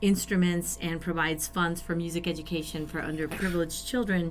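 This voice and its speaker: Against music in the background, a woman with a fairly low pitch speaks with an American accent. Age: 50s. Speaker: band member and nonprofit organizer. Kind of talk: casual chat.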